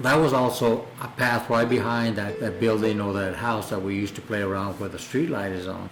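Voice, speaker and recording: With music playing in the background, a man with a New Mexico accent speaks at a moderate pace in a fairly low pitch. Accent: New Mexican English. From New Mexico, US. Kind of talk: oral history interview. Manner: reflective, conversational with hesitations.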